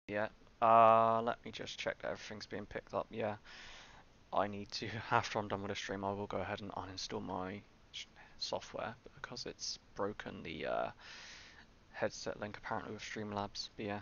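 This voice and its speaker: At a moderate pace, a man with a fairly low pitch speaks in a monotone, flat way with long, frequent pauses, the sound dry with no echo over light background noise. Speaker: game streamer. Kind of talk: casual livestream chat. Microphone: headset.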